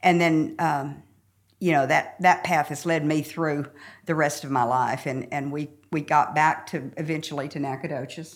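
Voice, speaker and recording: On a very clean recording with a silent background, a woman speaks at a moderate pace in a very deep, low voice with fairly even intonation. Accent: Southern US. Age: 70s. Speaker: church member sharing her story. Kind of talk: casual interview chat.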